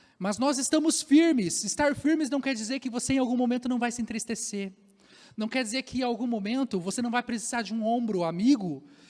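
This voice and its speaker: Speaking at a fairly quick pace, a man with an extremely high pitch uses ordinary pitch variation. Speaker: pastor. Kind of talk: sermon. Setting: church.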